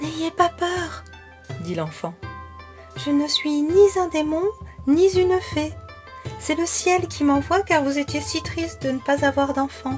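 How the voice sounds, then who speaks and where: With music in the background, the voice moves very slowly in a calm, gentle tone, with long, frequent pauses. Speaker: storyteller for children's relaxation stories. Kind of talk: soothing children's bedtime story narration. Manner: calm, gentle, soothing.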